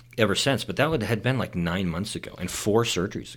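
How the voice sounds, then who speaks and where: A man's fairly low voice carries ordinary pitch variation. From Utah, Salt Lake City. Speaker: podiatrist. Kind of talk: casual chat. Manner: hesitant, many fillers.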